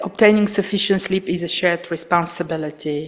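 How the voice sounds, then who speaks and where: Her medium-pitched voice, with a non-native accent, shows a woman speaking with fairly even intonation. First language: not English. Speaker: aviation regulator presenter. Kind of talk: conference presentation. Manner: halting, many fillers.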